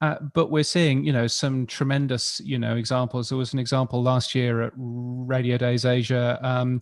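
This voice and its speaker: The recording is very clean, its background silent. A man talks at a moderate pace. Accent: English. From United Kingdom. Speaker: radio industry expert. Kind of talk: panel discussion.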